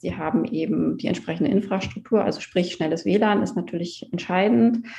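A woman's voice with vocal fry. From Mecklenburg-Western Pomerania, Germany. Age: 30s. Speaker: coworking space founder. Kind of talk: interview.

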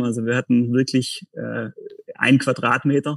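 This man's medium-pitched voice stays monotone and flat as he talks at a fairly slow pace. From Lake Constance region, southern Germany. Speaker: company executive. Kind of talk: podcast interview. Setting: video call. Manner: hesitant, many fillers.

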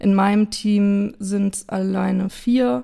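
A woman's medium-pitched voice, dark and mellow in tone, at a very slow pace. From Germany, Idstein (Hesse). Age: 30s. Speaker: amateur footballer and creative professional. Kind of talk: interview.

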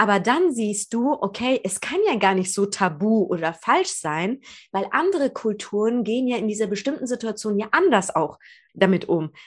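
A plain, everyday voice from a woman, fairly high in pitch, with lively intonation at a moderate pace, on a very clean recording against a silent background. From Germany, Persian family. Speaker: podcast host. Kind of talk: casual interview.

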